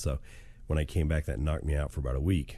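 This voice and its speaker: A man speaks in a very deep, low voice with a dark, mellow tone and somewhat breathy quality. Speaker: writing podcast host and novelist. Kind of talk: casual spoken update to listeners. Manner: conversational with frequent fillers.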